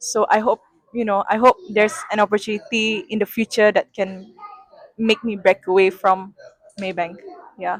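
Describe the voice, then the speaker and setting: The speaker has a Sarawakian accent and talks at a moderate pace. Long, frequent pauses come through a dry, close sound with no echo. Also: woman, fairly high pitch for a woman. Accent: Malaysian (Sarawakian) English. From Malaysia, Sarawak (Kuching). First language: Sarawak Malay. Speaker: sustainability analyst at a bank. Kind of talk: interview. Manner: hesitant, with fillers.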